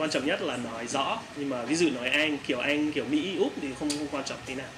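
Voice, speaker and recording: Over noticeable background noise and audible room echo, a man talks at a very fast pace with a fairly high pitch and ordinary pitch variation. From Canada. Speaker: IELTS teacher. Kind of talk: talk show interview.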